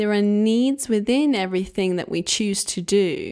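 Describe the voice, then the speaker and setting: A woman with an English accent speaks at a medium pitch with ordinary pitch variation. Her recording is very clean, with a silent background. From England. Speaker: podcast host, self-healing coach. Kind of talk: solo monologue podcast.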